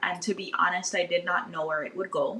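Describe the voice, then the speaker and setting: Against noticeable background noise, a woman with a Virgin Islands accent speaks at a fairly quick pace in a medium pitch. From US Virgin Islands, St. Thomas. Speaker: podcaster and social media history creator. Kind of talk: podcast interview. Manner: casual, conversational.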